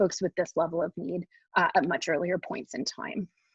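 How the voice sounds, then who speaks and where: A somewhat breathy woman's voice at a medium pitch. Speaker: psychology researcher presenting study findings. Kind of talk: webinar lecture presentation. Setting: online webinar. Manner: fast.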